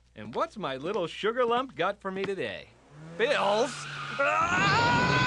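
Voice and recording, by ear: A cartoonish character voice, fairly high-pitched, at a fairly slow pace.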